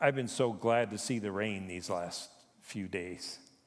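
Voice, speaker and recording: Audible room echo surrounds a man's voice. He speaks at a fairly slow pace with a fairly low pitch. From Japan. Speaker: retired pastor, chaplain. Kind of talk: sermon. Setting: church.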